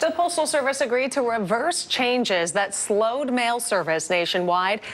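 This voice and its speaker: This woman's fairly high voice makes very wide pitch swings while her loudness stays very even. Noticeable background noise runs underneath. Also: moderate pace. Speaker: television news anchor. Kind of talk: TV news broadcast delivery.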